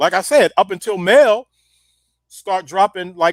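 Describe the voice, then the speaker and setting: A moderate pace in an American accent, with a dry, close sound with no echo, on a very clean recording with a silent background. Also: man. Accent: sounds country to New Yorkers. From US, outside the East Coast. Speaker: rap pioneer and activist. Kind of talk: casual interview chat. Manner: halting, many repeated words.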